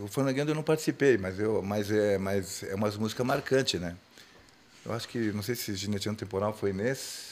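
He has an unremarkable speaking voice with a fairly low pitch. This man talks at a moderate pace with ordinary pitch variation. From Rio Grande do Sul, Brazil (Nonoai). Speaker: singer of a gaucho music group. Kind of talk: casual chat.

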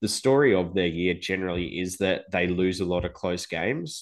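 An Australian-accented man with a very deep, low pitch, a moderate pace and ordinary pitch variation against a quiet background. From Adelaide, South Australia. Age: 30s. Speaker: football fan. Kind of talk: casual chat.

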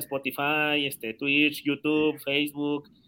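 The recording is very clean, with a silent background. The voice has a bright, sharp tone. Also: man. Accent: Mexican. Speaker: podcast co-host. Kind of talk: casual chat.

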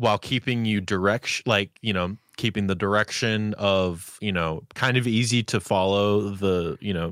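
On a very clean recording with a silent background and a dry, close sound with no echo, a man with a fairly low pitch has an unremarkable speaking voice. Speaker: podcast co-host. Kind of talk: casual chat. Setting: live stream with chat.

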